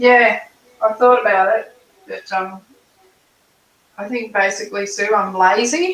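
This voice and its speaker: Speaking with an Australian accent at a fairly slow pace, a woman uses a fairly high pitch, big swings in loudness, and long, frequent pauses. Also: ordinary pitch variation. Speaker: artist. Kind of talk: casual chat. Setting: live stream.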